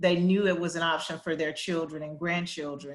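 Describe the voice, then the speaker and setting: A woman speaks in a Southern US accent, her pitch fairly low and her intonation monotone and flat. Audible room echo surrounds her voice. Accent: Southern drawl. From US South, Arkansas Delta. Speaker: education policy executive. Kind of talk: panel discussion. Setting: virtual town hall.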